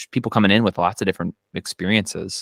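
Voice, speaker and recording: A man with a Minnesota accent at a very fast pace, fairly even in intonation, with a dry, close sound with no echo on a very clean recording with a silent background. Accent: Minnesota American English. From Minnesota, US Midwest. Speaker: accountant, interviewer. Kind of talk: casual conversation.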